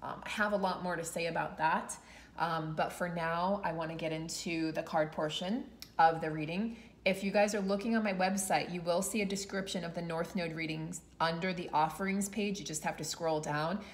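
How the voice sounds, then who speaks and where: The woman has an ordinary speaking voice, with fairly even intonation and a moderate pace. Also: fairly low pitch for a woman. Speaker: tarot reader. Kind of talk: tarot reading vlog talk. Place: home room. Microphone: phone near.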